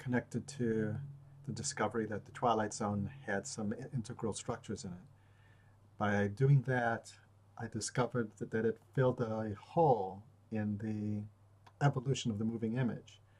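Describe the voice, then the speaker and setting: A man's somewhat breathy, medium-pitched voice moves at a moderate pace with fairly even intonation. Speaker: stutterer. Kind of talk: video journal talk to camera. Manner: hesitant, with many fillers.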